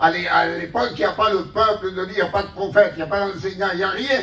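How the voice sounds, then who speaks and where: A man talks at a very fast pace in a high voice, with audible echo from the room. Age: 60s. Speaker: pastor. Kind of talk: sermon. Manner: animated.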